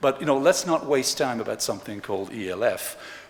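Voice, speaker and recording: With a French accent, a man speaks in very wide pitch swings over noticeable background noise. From Switzerland, Geneva (French-speaking). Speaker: economist, conference speaker. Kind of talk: plenary lecture. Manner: animated.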